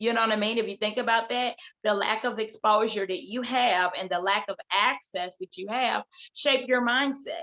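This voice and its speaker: A loud woman's voice, bright and sharp in tone, fairly high in pitch, at a moderate pace with ordinary pitch variation. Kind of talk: casual chat. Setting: video call.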